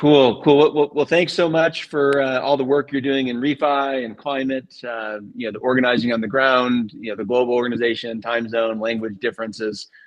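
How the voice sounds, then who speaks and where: Over noticeable background noise, a man with an American accent talks at a fairly quick pace and medium pitch, with fairly even intonation and hardly any pauses. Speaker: livestream show host. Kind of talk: podcast interview. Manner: loud.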